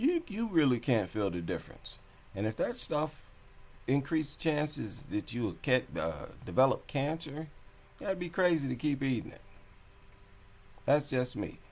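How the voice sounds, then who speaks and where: A man talks at a moderate pace, fairly high-pitched, with vocal fry. His pitch swings very widely, and he takes long, frequent pauses. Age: 40s. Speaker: vegan cooking vlogger. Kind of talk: casual vlog talk to camera. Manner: casual, conversational with repetitions.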